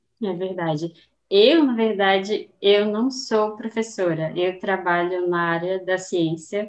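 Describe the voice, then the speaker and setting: A woman's words come very slowly, with pitch that shifts in an ordinary way. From Northeastern Brazil, Aracaju. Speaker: scientist and Portuguese teacher. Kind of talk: casual interview. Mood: friendly, relaxed. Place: home room.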